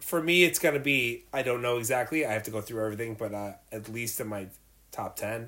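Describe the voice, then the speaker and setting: In a normal speaking voice, a man of medium pitch talks fairly quickly with ordinary pitch variation. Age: 40s. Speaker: podcast co-host, movie enthusiast. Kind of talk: casual chat. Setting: home studio.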